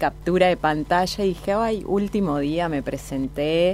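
Her pitch very deep and low, a woman speaks at a fairly slow pace with ordinary pitch variation. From Santa Fe province, Argentina. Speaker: fashion designer and entrepreneur. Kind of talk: interview.

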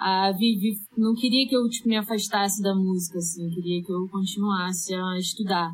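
A somewhat breathy woman's voice at medium pitch, with a Rio de Janeiro accent. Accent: carioca. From Rio de Janeiro, Brazil. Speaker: singer-songwriter. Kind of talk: casual interview chat.

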